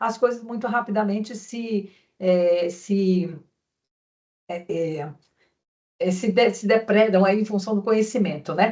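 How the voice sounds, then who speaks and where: Her pitch moves in an ordinary way. The speaker is a woman. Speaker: conference speaker. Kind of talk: conference presentation. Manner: fast.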